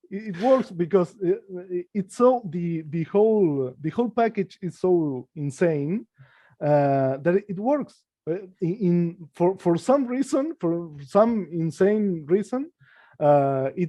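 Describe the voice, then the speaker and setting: Very slowly, a man speaks with a non-native accent and a high pitch. His pitch swings very widely. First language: not English. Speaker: comic book artist. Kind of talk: casual chat. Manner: halting, many repetitions.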